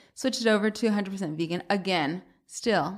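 This woman has an unremarkable speaking voice of medium pitch with an American accent. She talks at a fairly quick pace with lively intonation. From US South, Atlanta. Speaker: cookbook author and food blogger. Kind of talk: casual interview.

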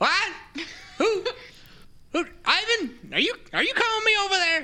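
Extremely high pitch in a put-on character voice, at a moderate pace. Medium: actual play. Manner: flustered, stammering.

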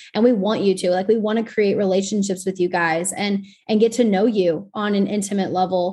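A woman with an American accent talks at a fairly quick pace with hardly any pauses, her somewhat breathy voice dark and mellow in tone and flat, monotone in intonation. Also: medium pitch for a woman. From Texas. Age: 20s. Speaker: podcast host. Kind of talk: casual chat.

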